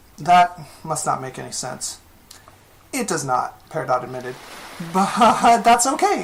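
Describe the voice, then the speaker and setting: Speaking at a moderate pace, a woman's pitch swings very widely amid noticeable background noise. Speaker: fan fiction writer. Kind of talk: fiction reading.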